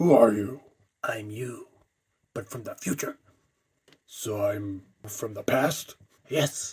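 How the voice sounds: Putting on a character voice with an American accent, a man speaks slowly in a fairly low, slightly mellow tone with a husky, rough edge. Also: ordinary pitch variation.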